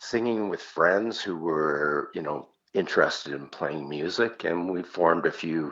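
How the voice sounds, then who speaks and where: A man's very deep, low voice at a fairly slow pace, with ordinary pitch variation. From Canada. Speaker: singer. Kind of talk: interview.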